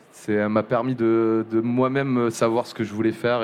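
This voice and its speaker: A man talks at a medium pitch. His delivery stays monotone and flat. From southern France, Montpellier. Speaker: music journalist. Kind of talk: live podcast interview. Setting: live venue with audience. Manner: halting, many fillers and repetitions.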